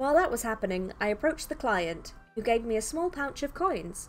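With lively intonation, the voice reads in an unforced way.

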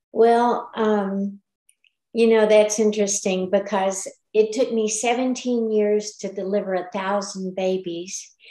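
Against a quiet background with audible room echo, a woman speaks with an American accent in a dark, mellow tone. Her pace is very slow and her intonation monotone and flat. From Texas. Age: 70s. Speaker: retired midwife; guest. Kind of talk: testimonial presentation with Q&A. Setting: video call. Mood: earnest, grateful, some frustration. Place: home room. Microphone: video call.

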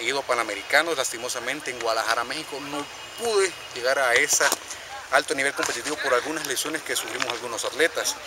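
A man talks very fast at a fairly high pitch with ordinary pitch variation. The sound is dry with no echo, and there is noticeable background noise. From El Salvador. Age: 20s. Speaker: track and field athlete. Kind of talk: interview. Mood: earnest, somewhat critical. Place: stadium. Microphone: camera far.

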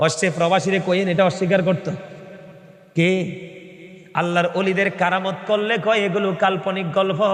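An animated voice at very even loudness comes through noticeable background noise and audible room echo. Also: man, high pitch for a man. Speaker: Islamic preacher. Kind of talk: sermon. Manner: animated, urging crowd to respond loudly.

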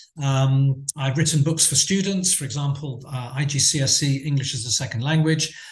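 A man's fairly high voice at a moderate pace with hardly any pauses, over noticeable background noise. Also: fairly even intonation. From England. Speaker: teacher trainer and coursebook author. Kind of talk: conference talk. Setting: video call.

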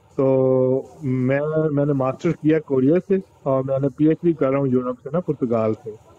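Moderate pacing and fairly even intonation from a man whose voice sits fairly high. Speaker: PhD student caller. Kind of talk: call-in question. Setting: call into online broadcast. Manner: halting. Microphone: video call.

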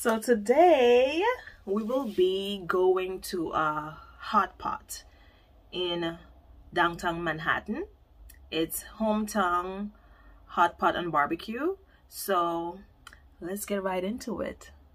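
A woman speaks at a very slow pace with long, frequent pauses. Her pitch varies in an ordinary way. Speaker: vlogger. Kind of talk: casual vlog chat. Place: home room. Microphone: phone near.

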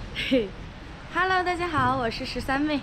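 The voice shows ordinary pitch variation, with noticeable background noise behind it. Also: woman. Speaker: vlogger. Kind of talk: casual vlog chat. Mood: cheerful, playful.

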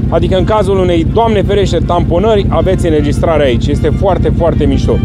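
Loud background noise surrounds a man talking at a moderate pace. The sound is dry, with no echo. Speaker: ATV owner reviewing a gadget. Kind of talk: casual vlog chat. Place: street.

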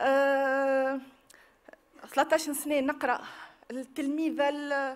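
In a Tunisian accent, a woman speaks at a very slow pace with a high pitch. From Tunisia, Tunis. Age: 30s. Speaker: victim giving testimony; witness. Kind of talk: testimony. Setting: public hearing with audience. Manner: halting. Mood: emotional, earnest. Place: hall. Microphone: podium.

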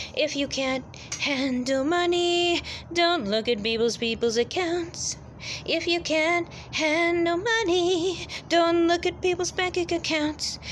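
A woman speaks at a very slow pace in an extremely high pitch, over light background noise. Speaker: vlogger. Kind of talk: casual vlog rant. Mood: annoyed, repetitive lecturing. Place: street. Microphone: phone near.

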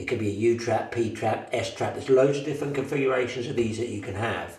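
Strong room echo surrounds a man talking at a fairly quick pace. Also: slightly mellow tone.

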